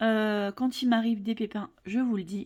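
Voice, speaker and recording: At a very slow pace, a woman speaks with a fairly high pitch, a somewhat breathy, dark, mellow tone and fairly even intonation. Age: 40s. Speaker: budget vlogger. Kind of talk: casual vlog talk to camera. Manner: hesitant, many fillers.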